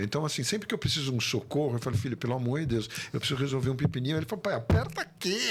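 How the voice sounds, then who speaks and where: A somewhat breathy male voice. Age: 60s. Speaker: actor. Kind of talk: interview.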